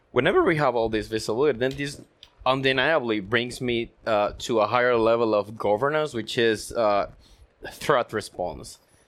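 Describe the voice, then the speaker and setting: At a moderate pace, a man talks in a medium pitch with ordinary pitch variation, an unremarkable speaking voice. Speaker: network consulting engineer and podcast co-host. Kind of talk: technical panel discussion.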